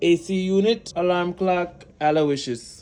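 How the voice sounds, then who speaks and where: A man's high-pitched voice. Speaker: vlogger and touring musical theatre performer. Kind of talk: casual vlog. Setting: hotel room. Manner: casual and chatty.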